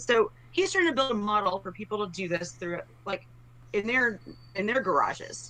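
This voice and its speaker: With an American accent, a woman talks at a fairly high pitch and moderate pace over noticeable background noise. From Texas, Dallas. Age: 40s. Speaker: political candidate. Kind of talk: interview.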